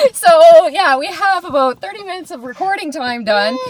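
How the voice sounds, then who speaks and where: Through noticeable background noise, a woman speaks at a fairly quick pace. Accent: Canadian. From Canada. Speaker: podcast co-host, travels for work. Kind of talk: casual chat. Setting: recorded on camera, on a trip in Australia.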